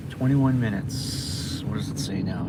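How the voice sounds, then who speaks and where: A man with a Boston accent talks at a fairly quick pace and a medium pitch, with audible room echo and noticeable background noise. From Massachusetts. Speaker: food delivery driver livestreamer. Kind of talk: casual livestream chat while driving. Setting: in a car.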